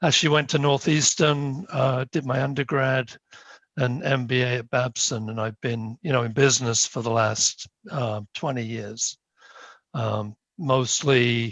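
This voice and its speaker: A man with a British accent, a medium pitch and ordinary pitch variation, at a fairly slow pace. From UK. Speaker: planning board member, engineer. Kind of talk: self-introduction at a town board meeting. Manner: halting, many fillers.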